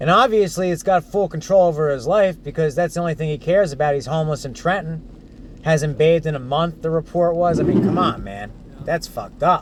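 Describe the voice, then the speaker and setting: Over noticeable background noise, a man with an American accent talks at a fairly quick pace with hardly any pauses. His fairly high voice shows ordinary pitch variation. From Central New Jersey. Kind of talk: casual conversation.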